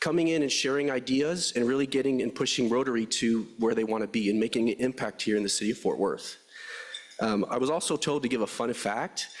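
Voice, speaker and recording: A man at medium pitch talks at a very fast pace. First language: Spanish. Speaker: AI strategist, new club member. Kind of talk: short self-introduction speech. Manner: hesitant, with filler words.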